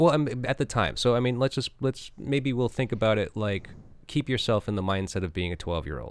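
A man at a medium pitch with vocal fry, lively intonation and a fairly quick pace, on a very clean recording with a silent background. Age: 40s. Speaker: podcast host. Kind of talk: casual chat. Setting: home studio, door open.

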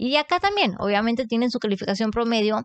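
At a fairly quick pace and with ordinary pitch variation, a woman speaks in a dry, close sound with no echo against a quiet background. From Mexico, Matamoros, Tamaulipas. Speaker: book content creator. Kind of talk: casual chat.

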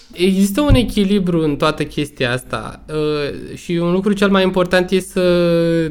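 A man talks at a fairly slow pace in a high pitch, showing ordinary pitch variation. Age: 30s. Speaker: entrepreneur, sports brand owner. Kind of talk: casual chat. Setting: online remote recording.

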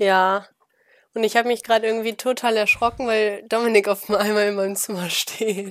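A very clean recording with a silent background, flat monotone intonation and a moderate pace. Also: woman, fairly high pitch for a woman. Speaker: student podcast co-host. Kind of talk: casual chat. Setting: at home in her room.

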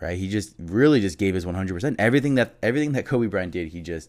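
A man with an American accent speaks at a very deep, low pitch with ordinary pitch variation. The recording is very clean with a silent background. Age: 20s. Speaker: sports podcast host. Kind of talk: solo podcast monologue. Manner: halting, many fillers.

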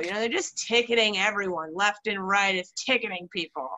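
The speaker has an unremarkable speaking voice with a Canadian accent. The intonation is lively. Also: woman. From Canada. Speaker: podcast host. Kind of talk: casual chat.

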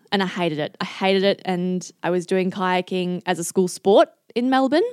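A woman with an Australian accent at a moderate pace, very clean recording with a silent background. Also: dry, close sound with no echo. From Singapore, then Australia. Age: 20s. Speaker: Olympic kayaker. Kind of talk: casual chat.

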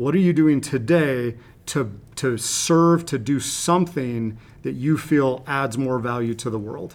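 A man with a normal speaking voice talks at a fairly slow pace in a medium pitch with ordinary pitch variation. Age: 40s. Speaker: high performance coach and school student specialist. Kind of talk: interview.

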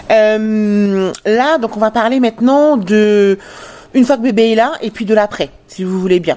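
Long, frequent pauses mark a woman's speech, delivered very slowly at a fairly high pitch. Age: 40s. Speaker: podcast host, parenting business manager. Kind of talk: interview.

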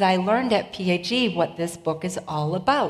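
Over noticeable background noise, a woman with a Boston accent speaks in an animated tone with lively intonation. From Boston, Massachusetts. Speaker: preacher. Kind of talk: sermon. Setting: church.

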